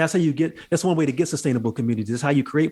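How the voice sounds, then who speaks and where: The voice belongs to a man. His accent is American. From US South, Jacksonville Florida. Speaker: writer and activist. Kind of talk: podcast interview.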